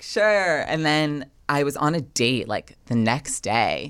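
The woman speaks at a fairly slow pace in a very deep, low voice with very wide pitch swings, on a very clean recording with a silent background. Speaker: writer and blogger. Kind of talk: casual chat.

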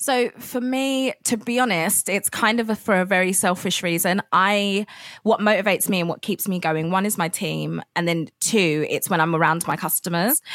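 Heard as a dry, close sound with no echo, a woman with a normal speaking voice talks at a moderate pace and medium pitch with ordinary pitch variation and hardly any pauses. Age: 20s. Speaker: food business founder. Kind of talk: interview.

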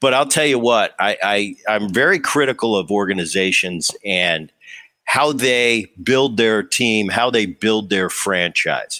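A man's fairly low voice, bright and sharp in tone, very even in loudness, at a fairly slow pace. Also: ordinary pitch variation, very clean recording, silent background. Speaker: podcast host and former baseball player. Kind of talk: casual interview.

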